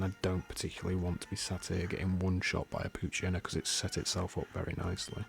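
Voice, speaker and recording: Music plays in the background while a man speaks at a very deep, low pitch. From northern England, Yorkshire. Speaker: gaming YouTuber. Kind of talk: let's play gaming commentary.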